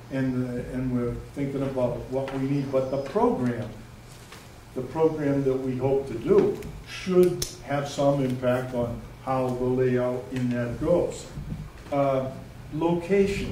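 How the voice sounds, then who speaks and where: A man's medium-pitched voice, very slow and fairly even in intonation, with audible room echo and noticeable background noise. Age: 70s. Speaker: resident speaking at town meeting, former selectman. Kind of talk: public comment at community meeting. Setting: public meeting in a library. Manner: halting, with many fillers.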